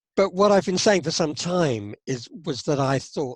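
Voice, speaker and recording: A man with a British accent speaks at a moderate pace, somewhat breathy, with lively intonation. The recording is very clean and dry, close with no echo, over a silent background. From UK. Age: 70s. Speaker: psychotherapist. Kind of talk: interview. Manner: halting, with repetitions and fillers.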